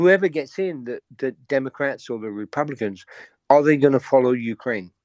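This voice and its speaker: A man with a British accent and a medium pitch speaks at a moderate pace, with ordinary pitch variation and big swings in loudness. The sound is dry and close with no echo, over a quiet background. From Britain. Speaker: caller. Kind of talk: call-in question. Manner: halting.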